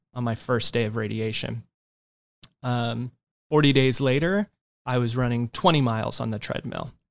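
A man's medium-pitched voice with an American accent. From US West Coast (Southern California, Inland Empire). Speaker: pastor. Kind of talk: interview.

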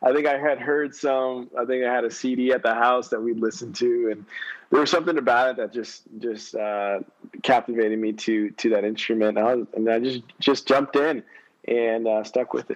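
A man with an ordinary speaking voice talks at a moderate pace, his medium pitch carrying fairly even intonation. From Texas, San Antonio. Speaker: singer-songwriter. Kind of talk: interview. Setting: audio app call from phone. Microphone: phone mic.

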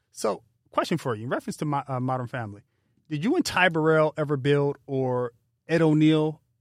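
A man with a plain, everyday voice talks at a fairly quick pace and fairly high pitch with ordinary pitch variation, in a very clean, dry, close recording with no echo and a silent background. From Pasadena, California. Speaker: podcast host. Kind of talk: interview. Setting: studio.

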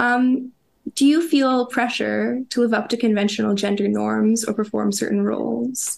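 A woman with a Canadian accent at a moderate pace. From Canada, Toronto. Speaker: video essayist, interviewer. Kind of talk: interview questions. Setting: call.

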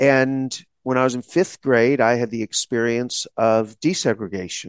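In a dry, close sound with no echo, a man with an American accent speaks at a fairly slow pace and medium pitch in a normal speaking voice. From Texas, small town. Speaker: law school dean, podcast co-host. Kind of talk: casual chat.

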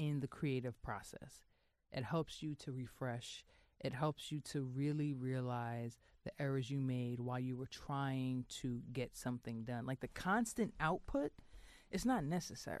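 With a New York accent, the speaker goes at a fairly slow pace with ordinary pitch variation against a quiet background. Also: woman, very deep, low pitch for a woman. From New York, Queens. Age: 30s. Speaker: magazine editor. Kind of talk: casual chat.

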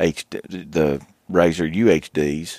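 With an Appalachian accent, a man talks in a very deep, low pitch with ordinary pitch variation, and the sound is dry and close with no echo. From West Virginia. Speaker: hunter. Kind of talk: casual chat.

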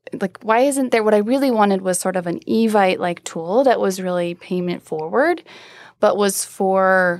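With lively intonation, a woman talks in an ordinary speaking voice, captured in a very clean recording with a silent background. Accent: American. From US Midwest, rural Iowa. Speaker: startup founder and CEO. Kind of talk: interview. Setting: studio.

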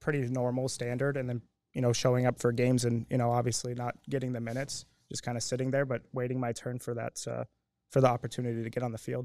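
Speaking with an American accent, a man of medium pitch has a dark, mellow tone and fairly even intonation. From Phoenix, Arizona, US. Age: 30s. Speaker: soccer coach. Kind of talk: interview. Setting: live show.

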